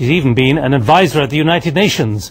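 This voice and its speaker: A man talks at a fairly quick pace and a fairly high pitch, with ordinary pitch variation. His is a plain, everyday voice. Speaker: TV news presenter. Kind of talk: TV news anchor introduction.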